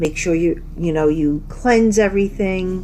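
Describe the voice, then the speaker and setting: In a room with audible echo, a woman speaks at a moderate pace. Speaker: horror podcast host. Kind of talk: casual solo podcast monologue.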